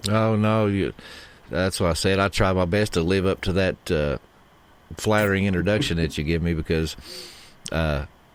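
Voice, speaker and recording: Speaking with an East Tennessee accent, a man with a very deep, low voice keeps a moderate pace, very even loudness, and long, frequent pauses. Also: ordinary pitch variation. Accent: East Tennessee twang. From East Tennessee, Rogersville. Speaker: podcaster and author, factory worker. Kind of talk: casual podcast interview.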